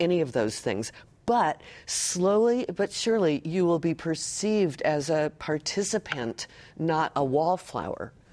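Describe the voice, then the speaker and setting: A woman with an American accent and fairly low pitch speaks in a dark, mellow tone with lively intonation at a fairly slow pace. Her loudness stays very even in a very clean recording with a silent background. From US West Coast, Los Angeles. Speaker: presentation coach. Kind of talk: interview conversation.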